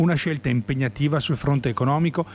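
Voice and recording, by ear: A man speaks at a moderate pace with a slightly mellow tone and a fairly high pitch. His intonation is lively.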